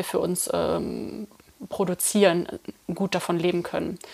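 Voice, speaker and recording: At a moderate pace comes a plain, everyday voice. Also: woman. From Germany, Eifel region. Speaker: coffee roaster and company co-founder. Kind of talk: interview. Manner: many filler sounds.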